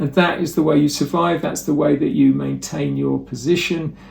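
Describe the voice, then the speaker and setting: Here a man speaks with a fairly high pitch and ordinary pitch variation. His voice is somewhat breathy. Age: 60s. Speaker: motivational speaker and educator. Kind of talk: presentation talk.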